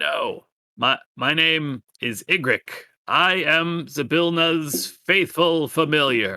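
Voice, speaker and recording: A man puts on a croaky character voice, pitched fairly high. He speaks at a very slow pace. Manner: polite, eager.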